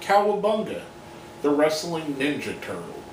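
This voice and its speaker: A man speaks at a fairly slow pace with a fairly high pitch and lively intonation. The room echo is audible, and there is light background noise. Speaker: wrestling commentary video host. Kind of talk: opinion monologue. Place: home room. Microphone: webcam.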